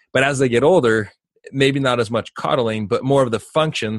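In a dry, close sound with no echo, a man with an ordinary speaking voice and medium pitch talks at a fairly quick pace. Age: 30s. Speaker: parenting podcast host, father of twins. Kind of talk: casual chat.

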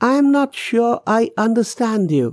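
Someone puts on a character voice, pitched fairly high and delivered at a fairly slow pace. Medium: read story.

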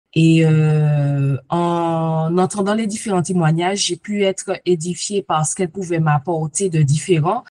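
With a plain, everyday voice, a woman speaks at a fairly slow pace and fairly low pitch, her intonation fairly even and the sound dry and close with no echo. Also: hardly any pauses. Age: 40s. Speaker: coaching client giving testimony. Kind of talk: testimony.

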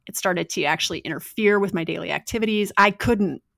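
Vocal fry comes through in a dry, close sound with no echo, on a very clean recording with a silent background. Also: woman. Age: 40s. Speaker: yoga teacher and strength coach. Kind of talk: casual interview.

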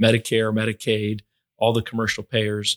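In an American accent, a man talks at a fairly quick pace in an ordinary speaking voice of medium pitch, with a dry, close sound and no echo. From Florida, Fort Myers. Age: 40s. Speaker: hospital finance executive. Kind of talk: interview.

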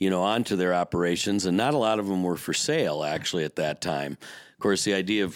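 A man with a very deep, low pitch and an Upper Midwest accent, fairly quick in pace, with ordinary pitch variation and a very clean recording over a silent background. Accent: Upper Midwest (Minnesota). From US Midwest, Minnesota lakes area. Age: 60s. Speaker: former boat dealership owner. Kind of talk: podcast interview. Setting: studio.

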